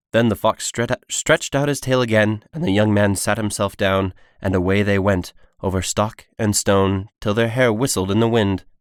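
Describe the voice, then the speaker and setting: A man's normal speaking voice at a moderate pace, fairly low in pitch with ordinary pitch variation and very even loudness, in a dry, close sound with no echo on a very clean recording with a silent background. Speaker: aspiring voice actor.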